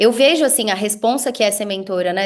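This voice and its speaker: A woman's medium-pitched, animated voice with lively intonation at a very fast pace, against a quiet background. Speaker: business mentor. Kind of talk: casual chat.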